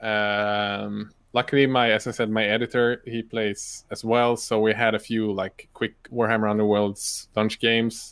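Using hardly any pauses, a man with a Swedish accent speaks in a flat, monotone way at medium pitch and a fairly slow pace. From northern Sweden. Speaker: YouTuber and miniature painter. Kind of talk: casual interview. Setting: live stream video call.

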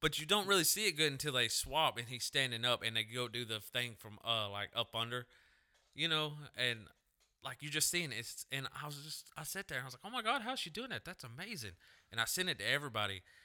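Lively intonation marks this man's bright, sharp voice. He speaks at a very fast pace. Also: medium pitch for a man. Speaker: podcast co-host. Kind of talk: casual chat.

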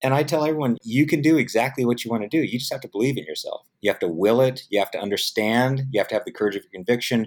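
In a very clean recording with a silent background, a man with an American accent speaks very fast at medium pitch with ordinary pitch variation. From US West Coast, San Diego. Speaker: film producer. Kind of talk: interview. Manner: hesitant with many fillers.

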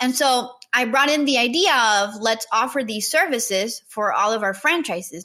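This woman has a Spanish accent and a fairly high pitch. Her tone is bright and sharp, with lively intonation. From Nicaragua. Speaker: marketing entrepreneur. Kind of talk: interview.

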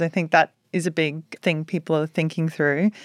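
In a very clean recording with a silent background, a woman with an American accent sounds dry and close with no echo. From rural Australia. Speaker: technology executive. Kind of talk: interview.

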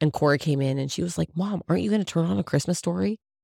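In a very clean recording with a silent background, a woman speaks at a very deep, low pitch, dry and close with no echo. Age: 40s. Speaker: podcast co-host, farm wife. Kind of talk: casual chat.

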